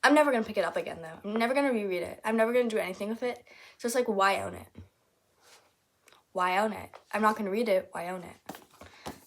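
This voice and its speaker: Talking at a very fast pace yet with long, frequent pauses, a woman uses a fairly high pitch, ordinary pitch variation and big swings in loudness. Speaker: book vlogger. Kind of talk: casual video monologue.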